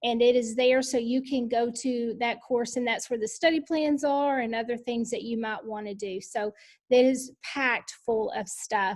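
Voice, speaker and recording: With a Texan accent, a high-pitched woman talks with fairly even intonation and hardly any pauses. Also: moderate pace. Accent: Texas country. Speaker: education leadership coach. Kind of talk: online book study session. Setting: video call.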